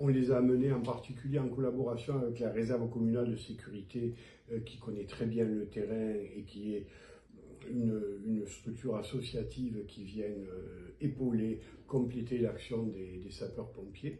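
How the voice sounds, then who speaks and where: A dark, mellow, somewhat breathy tone at a fairly slow pace with fairly even intonation. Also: man, medium pitch for a man. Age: 70s. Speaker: mayor and physician. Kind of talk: interview answer.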